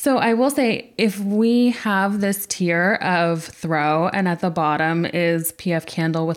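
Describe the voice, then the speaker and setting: A woman with an American accent talks at a medium pitch with lively intonation, in a plain, everyday voice. The recording is very clean, with a silent background. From California. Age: 30s. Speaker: podcast co-host, content creator. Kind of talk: casual chat.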